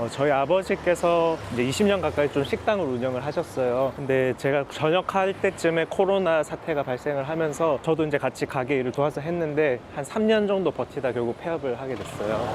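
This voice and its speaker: Over noticeable background noise, a man with fairly high pitch and ordinary pitch variation talks at a fairly quick pace with hardly any pauses. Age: 30s. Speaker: hearing aid center owner. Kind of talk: documentary interview.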